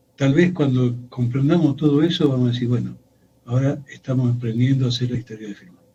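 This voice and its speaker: A man's somewhat breathy, dark, mellow voice at medium pitch, very fast, with fairly even intonation and big swings in loudness. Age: 70s. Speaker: historian. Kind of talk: radio interview.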